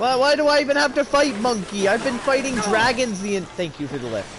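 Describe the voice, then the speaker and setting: A man with an extremely high pitch talks at a fairly quick pace with lively intonation over noticeable background noise. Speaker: streamer. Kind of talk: gameplay commentary. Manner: casual, rambling with false starts.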